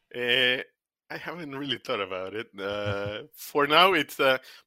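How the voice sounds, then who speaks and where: A man with a Spanish accent speaks at a fairly slow pace in a bright, sharp tone with ordinary pitch variation. The recording is very clean and dry, close with no echo, and the background is silent. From Argentina, Buenos Aires. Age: 50s. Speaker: technical product manager. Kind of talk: interview. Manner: halting.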